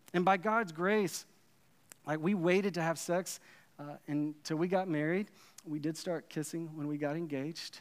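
With a Texan accent and fairly high pitch, a man talks at a moderate pace broken by long, frequent pauses. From Texas, Dallas. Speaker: pastor. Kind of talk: sermon. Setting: church stage with audience. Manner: halting, many repeated words.

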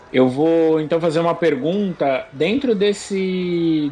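A man with a fairly high pitch talks very slowly. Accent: Brazilian. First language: Portuguese. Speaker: podcast co-host. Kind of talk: interview.

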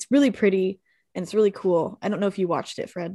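A woman with a slight Southern US accent speaks at a very fast pace, with a medium pitch, ordinary pitch variation and a dark, mellow tone. The recording is very clean and dry, with a close sound, no echo and a silent background. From Texas. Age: 20s. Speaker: podcast guest and ocean advocate. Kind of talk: casual chat.

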